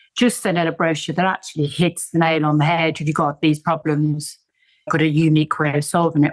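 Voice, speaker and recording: A woman with an English accent talks fairly quickly in a fairly low voice. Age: 60s. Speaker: tech entrepreneur and business coach. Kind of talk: podcast interview.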